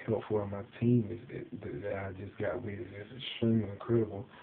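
Over light background noise, a man speaks at a moderate pace with a fairly low pitch and monotone, flat intonation. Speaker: network marketer. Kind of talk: casual talk to camera. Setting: quiet house at night. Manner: quiet, whispering so as not to wake the house. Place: home room. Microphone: webcam.

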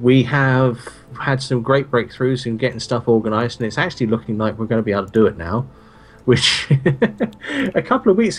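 Listen to a man talking. His pace is very fast. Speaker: co-host of a game stream. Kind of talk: casual livestream chat.

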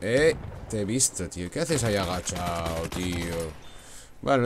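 A man with a Spanish accent speaks at a moderate pace with lively intonation. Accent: Peninsular Spanish. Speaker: gaming youtuber. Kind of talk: gameplay commentary. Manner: animated.

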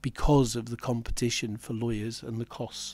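A man's slightly mellow tone with little pitch movement.

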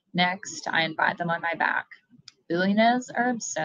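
The setting behind the voice is quiet. The words are read aloud plainly.

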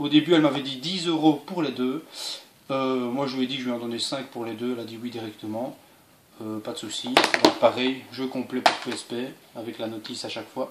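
Loud noise fills the background. Over it, a man speaks fairly quickly. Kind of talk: casual vlog chat. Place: home room.

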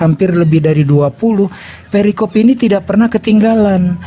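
A man speaks with ordinary pitch variation. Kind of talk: debate.

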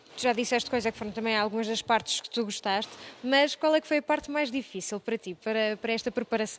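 This woman's voice is fairly high, with ordinary pitch variation, and she speaks at a very fast pace. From Portugal. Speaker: TV reporter interviewing students. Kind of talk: on-location interview. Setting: municipal library. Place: hall. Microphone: handheld.

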